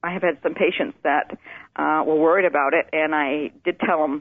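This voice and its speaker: With an American accent and a normal speaking voice, a woman talks at a moderate pace with a fairly low pitch and fairly even intonation. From Maine, US. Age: 60s. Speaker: nurse. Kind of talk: interview testimony.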